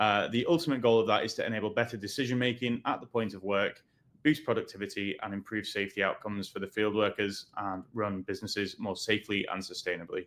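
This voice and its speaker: With a British accent, a man talks at a very fast pace with hardly any pauses. His pitch is fairly low, with ordinary variation. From UK. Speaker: webinar host, sales executive. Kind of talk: webinar interview.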